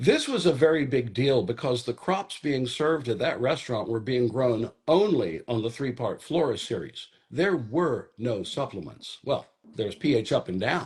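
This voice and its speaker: At a moderate pace, a medium-pitched man speaks somewhat breathily with lively intonation. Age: 70s. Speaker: hydroponics company founder. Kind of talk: casual interview. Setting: in a garden among plants.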